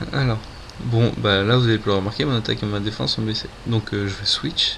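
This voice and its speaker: A man speaks at a fairly slow pace with fairly even intonation over noticeable background noise. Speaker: gaming video creator. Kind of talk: gameplay commentary. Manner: hesitant, many fillers. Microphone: poor sound, no proper mic.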